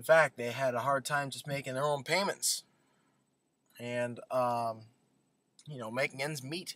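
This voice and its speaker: A man's bright, sharp voice at a moderate pace, dry sound with no echo. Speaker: vlogger. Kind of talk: casual vlog chat. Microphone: webcam.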